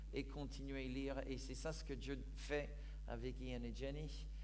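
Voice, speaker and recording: A man talks at a very slow pace. Room echo can be heard. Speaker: pastor. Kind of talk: sermon. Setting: church.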